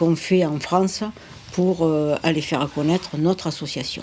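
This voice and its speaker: With fairly even intonation, a woman speaks at a fairly slow pace in a dark, mellow, fairly low-pitched voice. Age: 70s. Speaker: charity volunteer and deputy mayor. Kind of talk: interview. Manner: halting.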